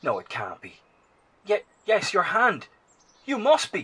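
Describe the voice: A man's put-on character voice, high-pitched with very wide pitch swings, a bright, sharp tone, a husky, rough edge and a slow pace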